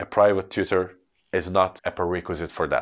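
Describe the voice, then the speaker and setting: In a quiet setting, a man with a Turkish accent talks in a fairly low pitch. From Turkey. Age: 30s. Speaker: English tutor. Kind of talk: educational podcast monologue.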